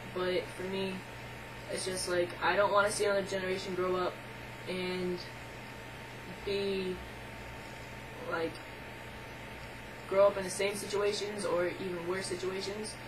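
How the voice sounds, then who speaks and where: A woman speaks at a medium pitch and moderate pace in a monotone, flat intonation, with long, frequent pauses, noticeable background noise, and audible room echo. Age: 20s. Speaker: video blogger. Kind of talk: casual vlog monologue. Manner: hesitant, many filler words.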